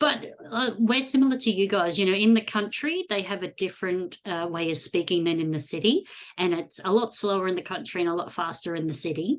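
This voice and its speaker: At a fairly quick pace, a woman with an Australian accent speaks at a medium pitch with lively intonation. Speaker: podcast host, geocacher. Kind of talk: casual interview chat.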